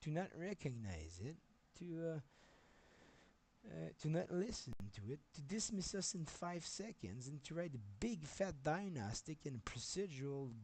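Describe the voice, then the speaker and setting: A man with a Quebec accent, a dark, mellow tone, very wide pitch swings and a fairly slow pace. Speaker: software developer streamer. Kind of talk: livestream rant. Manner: halting.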